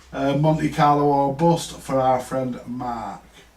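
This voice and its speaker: A man's fairly high, fairly evenly intoned voice, with audible room echo and noticeable background noise. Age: 60s. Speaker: vintage audio repair livestreamer. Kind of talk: casual live stream chat. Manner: halting, repetitive.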